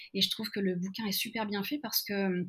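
A woman talks at a moderate pace with a medium pitch. Her voice is somewhat breathy, with ordinary pitch variation. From France, Lyon. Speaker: learning facilitator. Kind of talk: interview. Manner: halting, many repetitions.

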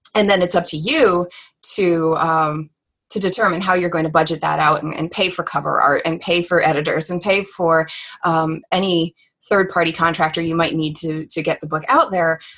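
A woman's unremarkable speaking voice with fairly even intonation. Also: fairly low pitch for a woman, moderate pace. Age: 30s. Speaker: graphic designer and novelist. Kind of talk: interview.

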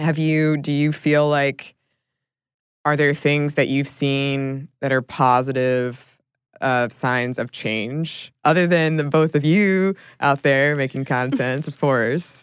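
The woman's pitch sits very deep and low. She talks very slowly. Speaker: podcast host. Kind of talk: interview. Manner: enthusiastic.

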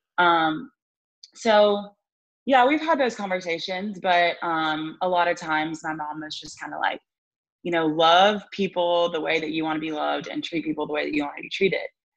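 With an American accent, a woman uses a normal speaking voice at a moderate pace, her fairly low pitch carrying ordinary variation and her loudness swinging a lot. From Alabama, US South. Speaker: swimmer. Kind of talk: casual chat. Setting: video call.

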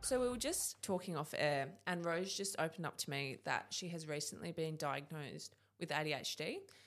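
In an Australian accent, a woman talks at a fairly quick pace with hardly any pauses. Her pitch is fairly low, with ordinary variation. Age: 20s. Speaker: podcast host. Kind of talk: interview. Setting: studio.

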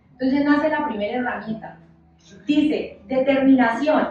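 Amid noticeable background noise and audible room echo, a woman speaks fairly slowly in a high voice with ordinary pitch variation. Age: 30s. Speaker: church leader, preacher. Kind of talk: sermon.

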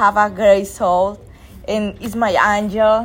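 In a Spanish accent, a woman talks at a medium pitch. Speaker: friend. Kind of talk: casual chat, well-wishes. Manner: halting, searching for words.

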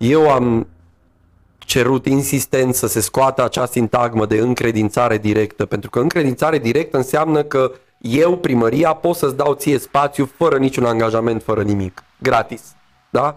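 Very even loudness, a moderate pace and ordinary pitch variation in a plain, everyday voice. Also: man, medium pitch for a man. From Romania, Târgu Mureș. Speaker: actor and theatre director. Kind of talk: interview conversation.

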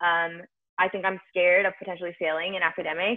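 A woman with a normal speaking voice talks at a medium pitch and a fairly quick pace. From US, Indian-American family. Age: 20s. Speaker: podcast co-host. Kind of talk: casual chat.

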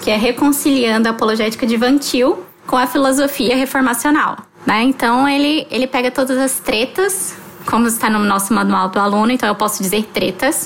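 Against noticeable background noise, a woman with a high pitch speaks at a very even loudness. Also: ordinary pitch variation, moderate pace. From Palmas, Tocantins, Brazil (born in Rio). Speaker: theology student. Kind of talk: casual podcast chat.

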